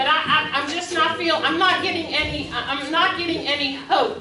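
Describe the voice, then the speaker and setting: Over noticeable background noise and audible room echo, a woman with an American accent speaks at a moderate pace in a raised, projected voice with an animated tone. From Munhall, Pennsylvania (Pittsburgh area). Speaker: resident speaking at council meeting. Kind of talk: public comment, heated debate. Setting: borough council meeting. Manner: loud; animated, emotional.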